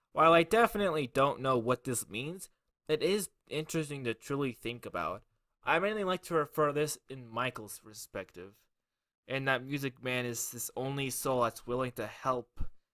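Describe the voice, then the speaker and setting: On a very clean recording with a silent background and a dry, close sound with no echo, a man of medium pitch speaks in a bright, sharp tone with lively intonation. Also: moderate pace. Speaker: YouTuber covering gaming lore. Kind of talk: iceberg explainer video.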